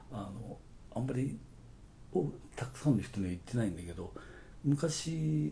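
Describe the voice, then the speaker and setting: Through audible room echo, a man speaks at a moderate pace in a fairly low pitch and dark, mellow tone, with very wide pitch swings, big swings in loudness and long, frequent pauses. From Okayama, Japan. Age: 60s. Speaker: advertising agency owner. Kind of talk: casual chat.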